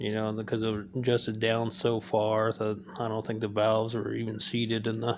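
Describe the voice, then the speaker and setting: With a fairly low pitch, the man's delivery stays monotone and flat in intonation. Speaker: home mechanic. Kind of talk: casual talk to camera. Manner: slow, low-energy drawl.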